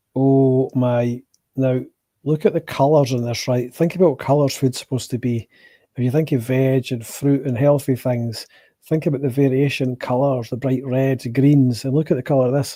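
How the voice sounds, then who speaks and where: A man with a Scottish accent and a dark, mellow tone, medium in pitch, at a moderate pace with fairly even intonation, on a very clean recording with a silent background. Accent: soft Scottish. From Scotland. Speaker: food reaction streamer. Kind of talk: live watch-along commentary. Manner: casual, sweary.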